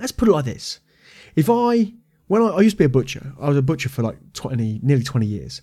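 With a British accent, a man speaks at a very fast pace in a fairly high pitch, his dark, mellow, somewhat breathy tone making very wide pitch swings. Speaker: podcast host and martial arts school owner. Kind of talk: angry rant about the games industry. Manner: heated, indignant, fired-up rant; informal, chatty.

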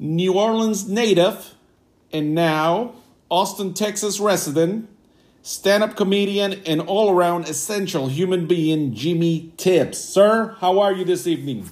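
With ordinary pitch variation, this man talks in a high register. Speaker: podcast host. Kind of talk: casual interview chat.

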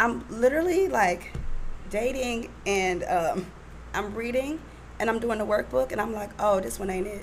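Using a plain, everyday voice, a woman speaks at a moderate pace in a medium pitch with lively intonation. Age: 30s. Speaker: guest, single churchgoer. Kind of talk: casual chat. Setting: studio.

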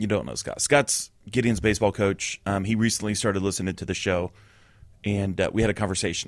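On a very clean recording with a silent background, a man with an ordinary speaking voice talks fairly quickly at a fairly low pitch with ordinary pitch variation. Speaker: podcast co-host. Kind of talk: casual banter. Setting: studio.

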